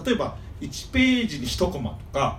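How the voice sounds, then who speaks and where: A man at a moderate pace, with audible room echo. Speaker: manga fan guest. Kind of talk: casual chat.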